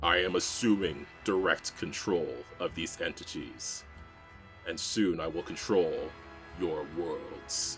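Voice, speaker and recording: A man speaks at a fairly slow pace in a put-on character voice, with clear music playing in the background. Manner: menacing, domineering.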